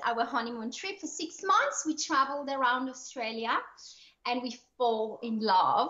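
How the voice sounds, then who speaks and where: Speaking fairly slowly, a woman uses a French-Swiss accent. Her voice sits high in pitch with ordinary variation. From Switzerland. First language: French or Swiss German. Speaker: online entrepreneur, lifestyle coach. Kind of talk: podcast interview. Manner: animated.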